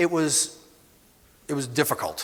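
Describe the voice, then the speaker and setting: A man with a Boston accent at a moderate pace. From Boston, Massachusetts. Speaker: animal welfare executive. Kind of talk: conference presentation. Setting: conference stage with audience. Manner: hesitant, many fillers.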